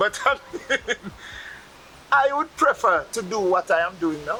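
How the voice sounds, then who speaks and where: A Jamaican accent over noticeable background noise. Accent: Jamaican patois. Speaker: Rastafarian interviewee. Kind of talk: interview.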